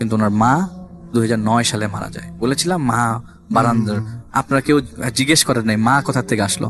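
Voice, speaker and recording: Music plays in the background as a man speaks at medium pitch. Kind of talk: storytelling guest in radio interview.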